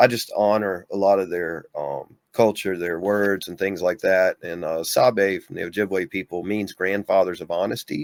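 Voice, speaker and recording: With a Southern US accent, a man talks at a moderate pace with hardly any pauses in a fairly low pitch, his intonation fairly even but his loudness shifting in big swings. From US South, Mississippi. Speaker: bigfoot experiencer, author. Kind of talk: casual interview.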